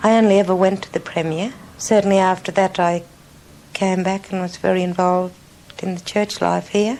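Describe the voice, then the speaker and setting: The speech moves at a fairly quick pace with fairly even intonation, and noticeable background noise is present. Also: woman. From Central Australia, Utopia station. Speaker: former film actress. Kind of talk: interview.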